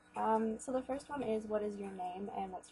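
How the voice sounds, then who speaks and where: Through noticeable background noise, a woman with a fairly high pitch speaks with fairly even intonation. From Canada. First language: Polish. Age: 20s. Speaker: beauty YouTuber. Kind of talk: casual vlog Q&A. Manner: hesitant, many fillers. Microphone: recording too quiet.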